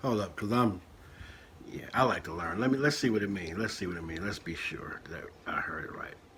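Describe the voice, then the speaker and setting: Speaking fairly quickly with an American accent, a man uses a fairly low pitch, ordinary pitch variation and big swings in loudness. Audible room echo surrounds his voice. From Richmond, California, Bay Area. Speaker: chef reacting to videos. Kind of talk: reaction commentary. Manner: casual, reads aloud a definition.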